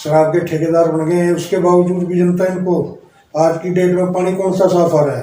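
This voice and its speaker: Music plays in the background, and audible room echo fills the space. A man speaks at a moderate pace in a high pitch. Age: 60s. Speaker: local party politician. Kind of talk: interview.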